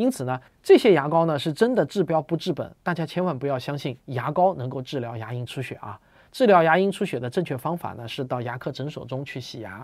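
Against a quiet background, a man talks at a fairly quick pace with lively intonation and a fairly high pitch. His loudness swings a lot. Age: 40s. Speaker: science popularizer. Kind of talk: monologue explainer video. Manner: casual, filler-heavy. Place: home room.

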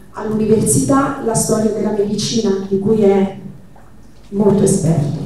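Over light background noise and strong room echo, a woman speaks at a fairly slow pace. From central Italy, Marche. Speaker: activist organizer. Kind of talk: event moderation. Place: hall.

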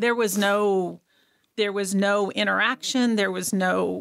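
Against a hushed backdrop, the talking goes along at a fairly slow rate. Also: woman. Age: 60s. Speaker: abuse survivor and speaker. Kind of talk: testimony. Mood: earnest, recounting trauma. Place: studio. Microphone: studio mic.

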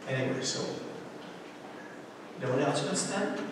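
A man speaks at a moderate pace amid strong room echo.

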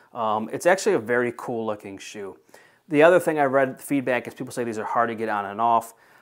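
Against a quiet background, a man speaks at a fairly quick pace with ordinary pitch variation and big swings in loudness. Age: 40s. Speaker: shoe reviewer; product reviewer. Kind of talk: product review; casual review talk. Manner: casual, with many filler words. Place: home room.

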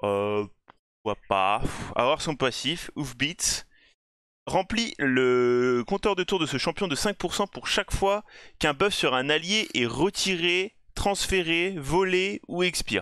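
A speaker with an English accent goes at a very slow pace in a bright, sharp tone with very wide pitch swings, captured in a dry, close sound with no echo on a very clean recording with a silent background. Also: man, high pitch for a man. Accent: self-described bad English. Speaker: gaming YouTuber. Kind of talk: game review commentary. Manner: casual, conversational.

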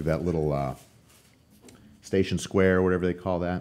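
A man talks at a fairly quick pace with a very deep, low pitch. He has an American accent and fairly even intonation. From Arizona, US (Tucson); Arizona. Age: 50s. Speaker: professional bodybuilder; podcast guest. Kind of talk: casual chat. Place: studio. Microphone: studio mic.

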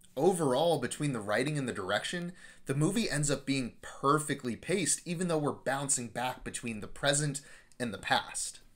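A man at a medium pitch, with lively intonation and a moderate pace

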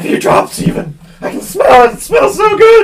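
Putting on a raspy character voice, a man speaks at a moderate pace with an extremely high pitch. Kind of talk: horror creature acting. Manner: desperate, pleading, hungry.

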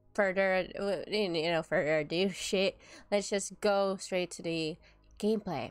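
The background is quiet as a woman talks at a fairly slow pace. Her intonation stays fairly even. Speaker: gaming content creator. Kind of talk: casual vlog chat. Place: home room. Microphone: studio mic.

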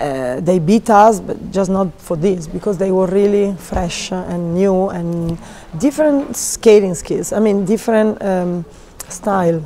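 There is noticeable background noise as a woman speaks at a fairly slow pace, her medium pitch showing ordinary variation. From Italy. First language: Italian. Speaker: figure skating coach. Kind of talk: interview. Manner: halting.

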